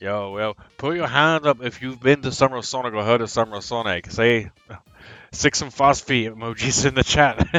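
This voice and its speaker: Music plays in the background as someone speaks at a moderate pace with an American accent. Pitch varies an ordinary amount. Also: man, medium pitch for a man. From England. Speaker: gaming streamer. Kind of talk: live gaming stream chat. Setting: live stream. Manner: casual, with frequent hesitations.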